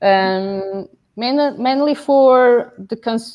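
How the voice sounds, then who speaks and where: A woman speaks with a Portuguese accent. Her intonation is lively. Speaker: business owner, distributor. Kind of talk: interview. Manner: hesitant, many fillers.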